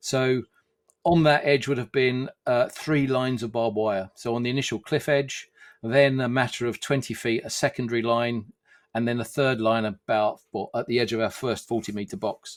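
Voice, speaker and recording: A man with a medium pitch speaks at a moderate pace and fairly even intonation. The recording is very clean, with a silent background. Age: 60s. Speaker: amateur military historian and researcher. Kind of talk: podcast interview. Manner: hesitant, many fillers.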